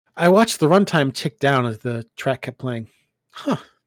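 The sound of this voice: The speaker uses an unforced reading voice with lively intonation, and the background stays quiet.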